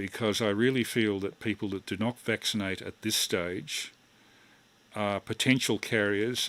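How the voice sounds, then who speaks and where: A man with an Australian accent, fairly low in pitch, at a fairly slow pace with ordinary pitch variation. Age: 60s. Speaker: amateur radio operator. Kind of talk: amateur radio net chat.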